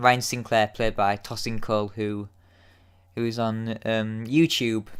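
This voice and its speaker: A man with a Yorkshire accent speaks at a medium pitch. His intonation is monotone and flat. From Yorkshire, northern England. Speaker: YouTube TV episode reviewer. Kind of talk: casual solo review. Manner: hesitant, many fillers and repeats.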